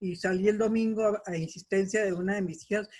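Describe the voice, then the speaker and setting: A woman's voice sits at a medium pitch with monotone, flat intonation. She keeps a moderate pace. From Colombia. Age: 70s. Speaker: participant in community discussion. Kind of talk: casual discussion.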